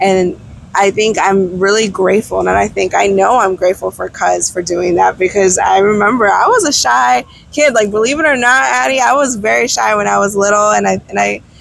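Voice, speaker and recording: A woman at a fairly quick pace with very even loudness, over noticeable background noise. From DC / Northern Virginia, US. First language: Spanish. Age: 30s. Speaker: travel blogger and entrepreneur. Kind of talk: casual chat. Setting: outdoors on a beach.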